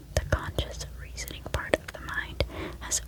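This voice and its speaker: A woman whispers at a moderate pace. Background noise is noticeable. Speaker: ASMR content creator. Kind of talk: reading from a psychology book. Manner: whispered.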